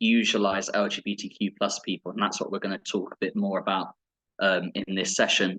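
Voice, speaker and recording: Recorded with a dry, close sound and no echo, a man with a bright, sharp tone speaks at a fairly quick pace. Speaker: teacher and union equality rep. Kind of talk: webinar presentation. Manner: hesitant, many fillers and repetitions.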